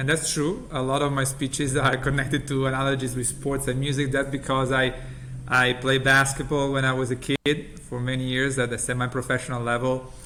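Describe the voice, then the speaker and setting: At a fairly quick pace, a man talks in a monotone, flat manner at medium pitch, with noticeable background noise. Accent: Italian. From Italy. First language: Italian. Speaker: healthcare company CEO. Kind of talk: interview.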